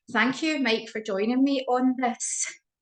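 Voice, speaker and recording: A woman is speaking. She has a Scottish accent. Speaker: dog behaviour host, interviewer. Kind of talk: interview chat. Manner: hesitant, many fillers.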